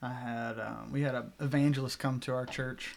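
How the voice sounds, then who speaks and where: Speaking with a Southern US accent, this man's pitch is medium. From US South, Arkansas (Bentonville). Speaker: student pastor. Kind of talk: testimony.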